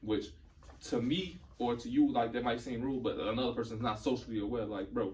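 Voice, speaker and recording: A medium-pitched man at a fairly quick pace, with audible room echo. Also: ordinary pitch variation. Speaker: podcast guest. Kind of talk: casual chat. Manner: fast.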